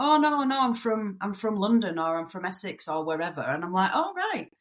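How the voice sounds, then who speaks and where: Very wide pitch swings in a somewhat breathy voice. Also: woman. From northern England, near Manchester. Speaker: migrant to Australia. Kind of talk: podcast interview.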